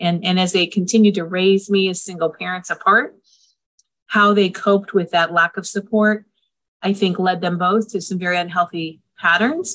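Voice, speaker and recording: A normal speaking voice from a woman, medium in pitch, moderate in pace. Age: 50s. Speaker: family therapist and co-parenting organization founder. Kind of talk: interview.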